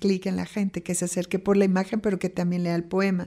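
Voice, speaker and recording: A woman with a medium pitch and a dark, mellow tone speaks in a monotone, flat intonation. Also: very clean recording, silent background. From Mexico City. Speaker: poet. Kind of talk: interview. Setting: studio.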